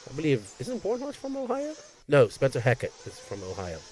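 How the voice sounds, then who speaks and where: A man with a Bermudian accent speaks at a moderate pace. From Bermuda. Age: 50s. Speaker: race commentator. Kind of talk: live commentary. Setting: outdoor racetrack livestream. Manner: animated.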